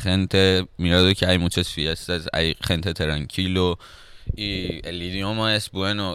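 With a Persian accent, a man speaks fairly slowly in a bright, sharp tone. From Iran (Tehran). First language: Persian (speaking Spanish). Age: 20s. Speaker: rapper. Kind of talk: casual chat.

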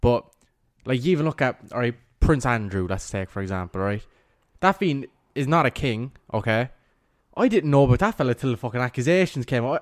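Recorded very cleanly with a silent background and a dry, close sound with no echo, a man with a Cork accent talks fairly quickly at a medium pitch with lively intonation and long, frequent pauses. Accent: Cork Irish. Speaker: podcast co-host. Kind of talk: casual chat.

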